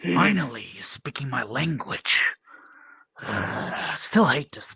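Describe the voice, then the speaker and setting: Doing a put-on character voice, a man sounds raspy and fairly high, speaking fairly slowly with very wide pitch swings and big swings in loudness, in a dry, close sound with no echo. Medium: machinima.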